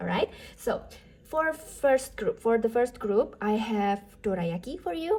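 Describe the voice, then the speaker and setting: A woman with a non-native accent speaks at a fairly slow pace. Her pitch is fairly high. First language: not English. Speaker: tarot reader. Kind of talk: tarot reading. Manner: casual, with fillers.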